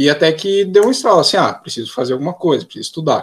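This man has a fairly high pitch and very wide pitch swings. He speaks at a very fast pace. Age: 20s. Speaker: physics student. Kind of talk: casual interview.

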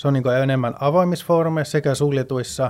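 A fairly high male voice with ordinary pitch variation. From Sweden. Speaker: finance professional. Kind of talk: casual chat. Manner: halting.

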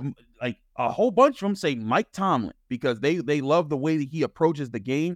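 A man speaks in a normal speaking voice, fairly high in pitch and fairly quick, with lively intonation. The sound is dry and close, with no echo. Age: 30s. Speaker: sports journalist and podcast host. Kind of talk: podcast interview.

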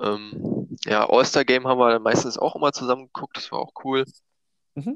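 Keeping a fairly even intonation at a moderate pace, a man speaks in a normal speaking voice, recorded dry and close with no echo. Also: medium pitch for a man. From Brandenburg, eastern Germany (Eisenhüttenstadt). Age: 20s. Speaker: gaming league player. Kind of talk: casual chat. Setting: at home in quarantine.

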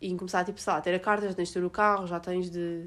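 A woman talks at a fairly quick pace in a medium pitch. The recording is very clean, with a silent background. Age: young. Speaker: podcast host. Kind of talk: casual chat.

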